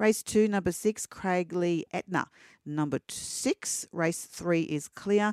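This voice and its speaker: On a very clean recording with a silent background and a dry, close sound with no echo, a woman with an Australian accent speaks very slowly at a fairly low pitch with ordinary pitch variation. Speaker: racing reporter. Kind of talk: reading race scratchings and racing news.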